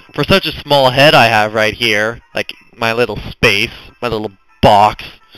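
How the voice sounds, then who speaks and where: The speech moves at a fairly slow pace with ordinary pitch variation. Music plays in the background. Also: man, medium pitch for a man. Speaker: gaming YouTuber. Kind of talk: gameplay walkthrough commentary. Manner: loud.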